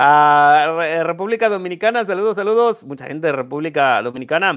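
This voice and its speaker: A man talks in an animated tone with lively intonation. The background is quiet. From Mexico, Guanajuato. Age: 30s. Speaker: coin dealer and YouTuber; YouTuber. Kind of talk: casual live stream chat. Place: home room. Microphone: earbuds.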